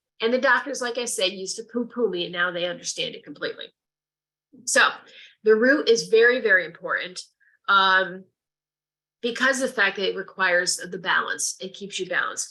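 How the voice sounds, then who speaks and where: A woman with an American accent and a medium-pitched, bright, sharp tone speaks at a fairly quick pace with ordinary pitch variation, big swings in loudness, and long, frequent pauses. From Connecticut, US. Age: 60s. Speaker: reiki practitioner and nurse. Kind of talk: lecture.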